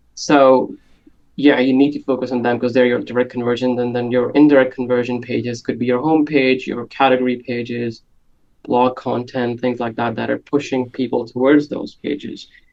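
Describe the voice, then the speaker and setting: A man talks with a non-native accent and medium pitch. His delivery is monotone and flat at a moderate pace. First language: not English. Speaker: conversion and analytics expert. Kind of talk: podcast interview. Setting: video call.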